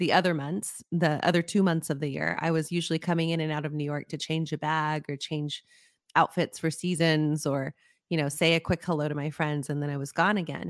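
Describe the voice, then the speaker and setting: A woman with a very deep, low pitch and an American accent talks at a fairly quick pace in a monotone, flat intonation, recorded dry and close with no echo in a very clean recording with a silent background. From New Mexico, US (Las Cruces, near the Mexican border). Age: 40s. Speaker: executive coach, former opera singer. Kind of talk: interview.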